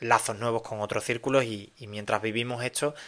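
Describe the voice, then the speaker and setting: A man's bright, sharp tone in an Andalusian accent, at a moderate pace with fairly even intonation. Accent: Andalusian (Cádiz). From Cádiz, Andalusia, Spain. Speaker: podcast host. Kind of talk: casual monologue podcast. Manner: halting, many fillers and repetitions.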